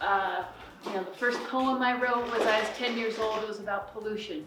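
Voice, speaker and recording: Noticeable background noise and audible room echo surround a woman with an American accent. She speaks at a moderate pace with fairly even intonation. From Colorado, US. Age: 60s. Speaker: climate action speaker. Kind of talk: public talk.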